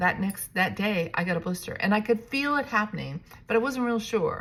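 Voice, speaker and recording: A normal speaking voice from a woman, with ordinary pitch variation at a fairly quick pace. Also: fairly high pitch for a woman. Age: 60s. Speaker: realtor and vlogger. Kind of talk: casual vlog monologue. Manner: casual, with fillers and restarts.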